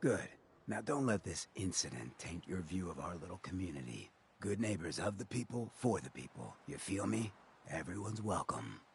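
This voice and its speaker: A man puts on a character voice with a very deep, low pitch, talking at a moderate pace. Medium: video game. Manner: casual, streetwise.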